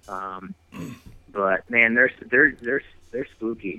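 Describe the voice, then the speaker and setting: Speaking in an Upper Midwest accent, a man has a bright, sharp tone and medium pitch. He goes at a fairly slow pace with long, frequent pauses. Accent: Upper Midwest American. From west central Wisconsin. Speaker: touring musician and hunter. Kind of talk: casual interview. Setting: studio.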